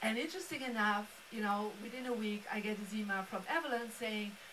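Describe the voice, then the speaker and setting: A woman with a Belgian accent and a fairly high pitch at a moderate pace, amid noticeable background noise and audible room echo. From Belgium. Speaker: feng shui master and speaker. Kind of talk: motivational presentation. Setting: live-streamed studio event with audience. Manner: animated.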